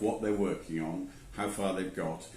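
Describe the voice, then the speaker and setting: A man talks fairly quickly with audible room echo around his voice. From England. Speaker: angel investor. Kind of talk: interview.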